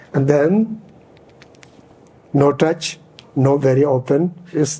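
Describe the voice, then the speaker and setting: Noticeable background noise sits under a man speaking very slowly at a fairly high pitch with fairly even intonation. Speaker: Buddhist teacher. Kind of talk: dharma teaching. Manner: halting, searching for words.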